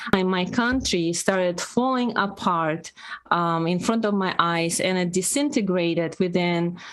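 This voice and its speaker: A woman with a Russian accent, medium pitch, ordinary pitch variation and a very slow pace. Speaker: podcast co-host. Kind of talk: casual chat.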